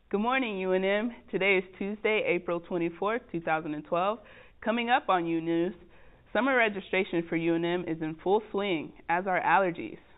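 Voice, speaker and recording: This is an unremarkable speaking voice, delivered at a moderate pace with ordinary pitch variation. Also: woman, medium pitch for a woman. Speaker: broadcasting student. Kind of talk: student news anchoring.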